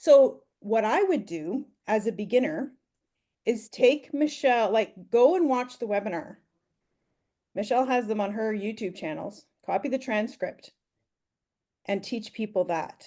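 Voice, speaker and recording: With a Canadian accent, a woman speaks in a dark, mellow tone with lively intonation at a fairly slow pace, leaving long, frequent pauses. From Ontario, Canada. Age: 50s. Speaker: online business mentor. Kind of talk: mentoring Q&A.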